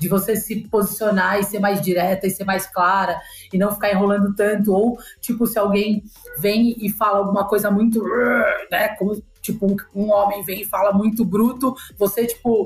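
Noticeable background noise runs through the clip. A woman speaks at medium pitch with monotone, flat intonation. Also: moderate pace. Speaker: digital business leader. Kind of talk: casual chat.

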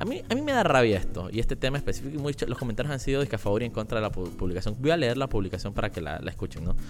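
With hardly any pauses, a man in a Panamanian accent speaks at a very fast pace and medium pitch, his intonation lively over music in the background. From Panama, La Chorrera. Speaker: political commentary podcaster. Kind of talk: casual live-stream commentary. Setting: live video stream.

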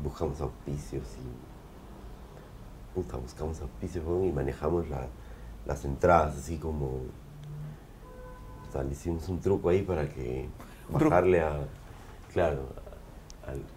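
Very slowly and in a very deep, low voice, a man speaks with music in the background and audible room echo. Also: ordinary pitch variation. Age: 40s. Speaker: punk band singer. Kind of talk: casual interview.

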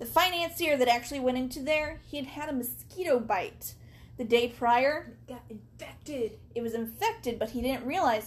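With an American accent and a high pitch, a woman speaks at a moderate pace with ordinary pitch variation and big swings in loudness, over noticeable background noise. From US Midwest (southern Missouri). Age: 30s. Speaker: podcast host. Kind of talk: casual chat. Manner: animated.

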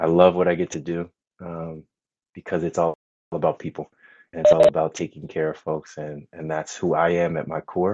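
With an American accent, a man speaks at a moderate pace in a dark, mellow tone, the sound dry and close with no echo. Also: big swings in loudness. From California. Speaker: wealth management advisor. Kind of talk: podcast interview. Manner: hesitant, repeats words.

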